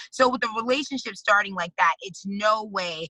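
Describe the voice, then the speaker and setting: A woman with a New York accent talks at a fairly quick pace in a bright, sharp tone. Her pitch varies in an ordinary way, and the sound is dry and close with no echo. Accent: New York City. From New York City, the Bronx. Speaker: activist and congressional candidate. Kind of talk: interview.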